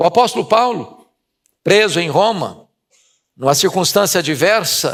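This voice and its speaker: Speaking fairly slowly, a man lets his pitch rise and fall in an ordinary way. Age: 60s. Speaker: preacher. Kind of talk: sermon.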